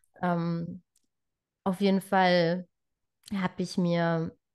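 A woman speaks at medium pitch with fairly even intonation. The sound is dry and close with no echo, over a quiet background. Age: 20s. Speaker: trainee birthkeeper sharing pregnancy loss story. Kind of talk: personal testimony in interview.

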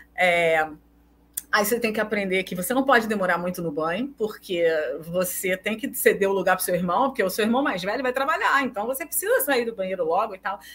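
Fairly quick delivery and lively intonation against noticeable background noise. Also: woman, medium pitch for a woman. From Brazil, Recife (Northeast). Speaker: researcher and social psychologist. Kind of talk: casual interview chat.

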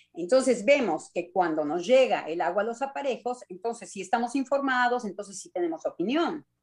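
A woman is speaking. Her voice sits at a medium pitch. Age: 60s. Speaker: psychoanalyst. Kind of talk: radio panel discussion.

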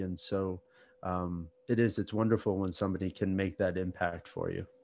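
Against a quiet background, a man with a fairly low voice and ordinary pitch variation speaks at a moderate pace. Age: 40s. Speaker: podcast host. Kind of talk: interview.

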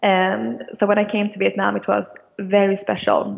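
A woman's fairly slow speech with a Swedish accent. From Sweden, Stockholm. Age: 20s. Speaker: business student. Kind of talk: interview. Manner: halting.

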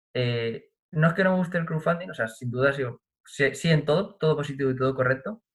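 A man speaks in a somewhat breathy voice. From Spain, Albacete province. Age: 20s. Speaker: pianist and composer. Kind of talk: casual interview chat.

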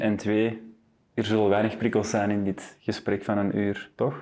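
A man speaks at a fairly low pitch in a dark, mellow tone with monotone, flat intonation. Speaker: podcast host. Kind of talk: casual interview conversation. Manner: fast, swallows words.

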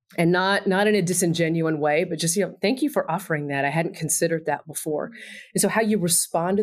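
In a very clean recording with a silent background, a woman with an American accent and an unremarkable speaking voice talks at a fairly low pitch with ordinary pitch variation. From Texas. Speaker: university administrator. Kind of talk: casual interview.

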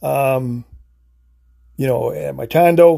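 Very slow pace, dark and mellow tone, with an American accent. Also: man. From US Midwest (Illinois). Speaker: podcast host. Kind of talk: casual solo podcast monologue. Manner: halting, many fillers and restarts; unscripted, off the cuff.

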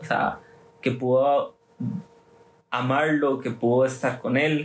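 The voice belongs to a man. He keeps his intonation fairly level throughout. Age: 20s. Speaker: youth group leader. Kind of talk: casual chat.

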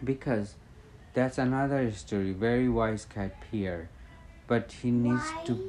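A man with a Bengali accent talks at a fairly slow pace, his medium pitch showing ordinary variation. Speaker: parent telling a bedtime story. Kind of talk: bedtime storytelling. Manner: halting.

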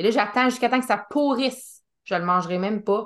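With a Quebec accent, a woman speaks at a fairly high pitch in a bright, sharp tone, with ordinary pitch variation and a quiet background. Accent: Québécois French. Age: 30s. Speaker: podcast host. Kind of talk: casual interview chat.

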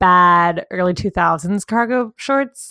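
A woman's plain, everyday voice at medium pitch, on a very clean recording with a silent background. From US South. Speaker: podcast co-host. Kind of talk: casual chat.

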